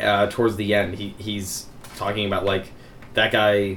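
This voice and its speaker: Audible room echo around a fairly low male voice. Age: 20s. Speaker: podcast host. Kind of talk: casual chat.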